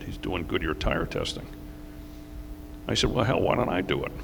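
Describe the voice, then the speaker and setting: Fairly quick speech from a man with an American accent, noticeable background noise and audible room echo around it. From New York, US. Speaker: racing driver and team owner. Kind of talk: interview on stage. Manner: halting.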